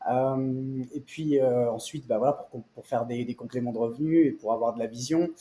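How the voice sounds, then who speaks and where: A medium-pitched man at a moderate pace, fairly even intonation and hardly any pauses, with noticeable background noise. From France, Nice. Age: 30s. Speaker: private equity investor. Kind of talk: interview. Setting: office.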